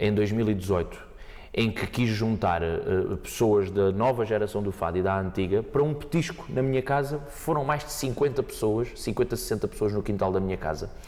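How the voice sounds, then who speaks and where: A man talks fairly quickly with lively intonation. Noticeable background noise sits behind him. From Portugal, Montijo area. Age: 20s. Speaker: fado singer. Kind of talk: podcast interview. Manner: hesitant, repeats words.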